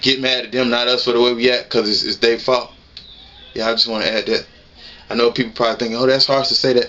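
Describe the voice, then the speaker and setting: Noticeable background noise runs under the recording. A man talks very fast at a medium pitch. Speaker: YouTuber. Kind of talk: casual commentary vlog. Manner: animated.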